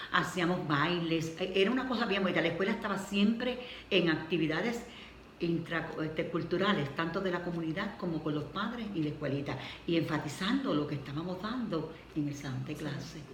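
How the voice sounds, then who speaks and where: Noticeable background noise under a woman with a Puerto Rican accent, her pitch fairly low with ordinary variation and her pace moderate. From Puerto Rico. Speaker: retired schoolteacher. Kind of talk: interview answer.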